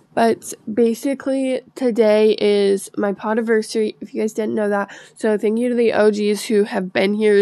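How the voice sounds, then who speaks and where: Over noticeable background noise, a woman with a fairly high pitch speaks in a monotone, flat way at a moderate pace with hardly any pauses. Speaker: podcaster. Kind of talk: casual monologue. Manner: hesitant, filler-heavy.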